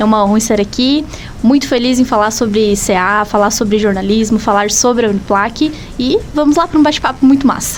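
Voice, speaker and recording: The loudness stays very even throughout as a woman speaks. There is noticeable background noise behind her. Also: fairly high pitch for a woman, ordinary pitch variation. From Santa Catarina, Brazil. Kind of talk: friendly, conversational interview.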